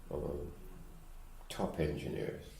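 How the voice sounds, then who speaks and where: Vocal fry runs through a man's dark, mellow tone. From Caribbean. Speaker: retired engineer. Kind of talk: oral history interview answer.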